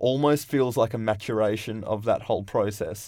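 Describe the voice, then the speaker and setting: In a very clean recording with a silent background, a man with an Australian accent speaks at a moderate pace, with fairly even intonation and a medium pitch. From Western Australia, rural. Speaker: film podcast co-host. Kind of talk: casual chat.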